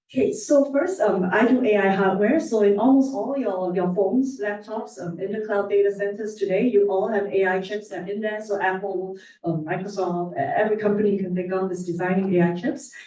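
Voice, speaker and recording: The speech moves at a fairly quick pace with hardly any pauses. Background noise is noticeable. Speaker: computer science professor. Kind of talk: conference talk. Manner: fast.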